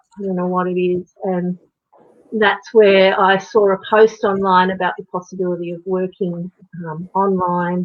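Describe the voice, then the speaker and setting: A woman in an Australian accent talks at a medium pitch. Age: 50s. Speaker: natural horsemanship coach and online entrepreneur. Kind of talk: interview answer.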